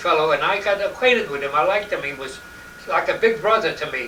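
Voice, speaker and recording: In a New York accent, a man talks at a very fast pace with a high pitch and lively intonation. Noticeable background noise and audible room echo fill the recording. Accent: old New York. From New York City, Lower East Side. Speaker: interviewee recalling his childhood. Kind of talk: oral history interview. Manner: halting, many repetitions.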